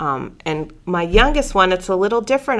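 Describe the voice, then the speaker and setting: A woman at medium pitch with an Upper Midwest accent, moderate pace, on a very clean recording with a silent background. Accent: Upper Midwest American. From North Dakota. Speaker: biology professor. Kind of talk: casual interview.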